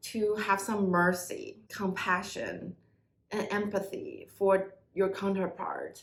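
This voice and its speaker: With audible room echo around her, a woman speaks at a very slow pace in a somewhat breathy voice of medium pitch. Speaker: tarot reader. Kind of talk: tarot reading to viewers.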